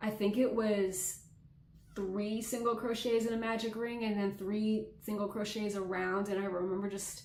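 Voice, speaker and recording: Over noticeable background noise and audible room echo, a woman talks at a medium pitch in a monotone, flat intonation. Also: moderate pace. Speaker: crochet content creator. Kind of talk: casual chat. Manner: casual, with fillers.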